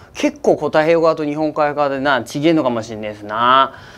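A man speaks with an Akita accent. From Akita, Japan. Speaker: weather forecaster. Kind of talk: casual weather forecast talk to camera. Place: studio. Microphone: lapel.

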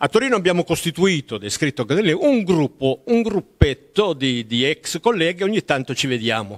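A man's voice swings very widely in pitch, with vocal fry. The background is quiet. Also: moderate pace, hardly any pauses. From southern Italy, Apulia (near Taranto); Apulia, Italy. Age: 80s+. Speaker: author, retired teacher; retired teacher. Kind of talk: interview; interview answer. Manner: halting, with many repetitions. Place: home room. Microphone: handheld.

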